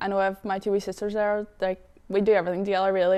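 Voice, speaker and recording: A woman's medium-pitched voice, monotone and flat in intonation, at a very fast pace. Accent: Northern Irish. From Northern Ireland, Derry. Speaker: footballer. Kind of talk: interview.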